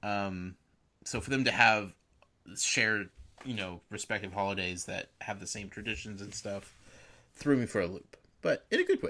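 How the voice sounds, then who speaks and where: On a very clean recording with a silent background, a man with an American accent speaks at a moderate pace in a fairly low, bright and sharp voice, with fairly even intonation, big swings in loudness and long, frequent pauses. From Southern California. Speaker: podcast co-host. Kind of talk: casual chat.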